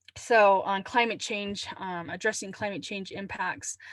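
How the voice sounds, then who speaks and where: A woman speaks in an unremarkable speaking voice at medium pitch and a fairly slow pace over a quiet background. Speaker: climate adaptation trainer. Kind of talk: webinar presentation.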